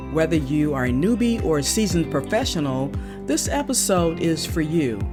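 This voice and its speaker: A woman is speaking with very even loudness. Music plays in the background. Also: moderate pace. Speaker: podcast host. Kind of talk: podcast intro.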